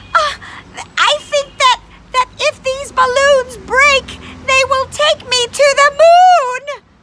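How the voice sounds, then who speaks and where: A woman's put-on character voice, extremely high-pitched, at a very slow pace. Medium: read story.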